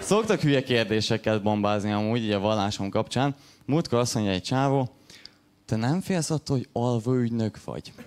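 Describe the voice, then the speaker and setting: Against noticeable background noise, a man at a medium pitch speaks at a fairly quick pace with ordinary pitch variation. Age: 20s. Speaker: stand-up comedian. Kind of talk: stand-up. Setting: stage with audience.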